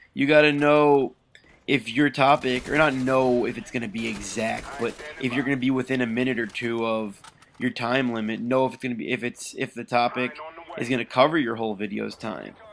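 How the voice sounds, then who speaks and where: Against noticeable background noise, a man with medium pitch talks at a fairly quick pace with fairly even intonation. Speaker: gaming commentator. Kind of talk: gameplay commentary. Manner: fast.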